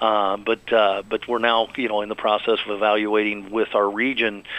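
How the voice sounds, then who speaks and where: A man at a medium pitch, moderate pace, amid noticeable background noise. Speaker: hospital chief medical officer, doctor. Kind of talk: radio interview. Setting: radio show.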